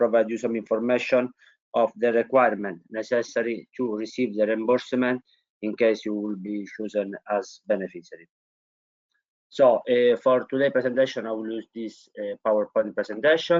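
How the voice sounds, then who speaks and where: A man of medium pitch speaks with a strong Italian accent. His pace is moderate and his intonation fairly even. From Italy. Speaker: innovation consultant. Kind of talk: webinar presentation. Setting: online webinar.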